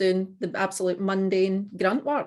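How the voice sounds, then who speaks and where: A woman speaks at medium pitch with a strong Scottish accent. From Scotland. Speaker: dog trainer, business owner. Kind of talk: casual business video call. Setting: video call.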